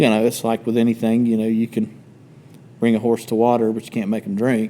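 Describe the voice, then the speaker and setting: With a Southern US accent, a man talks fairly quickly at medium pitch in a dark, mellow tone with monotone, flat intonation. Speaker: podcast co-host. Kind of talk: casual chat.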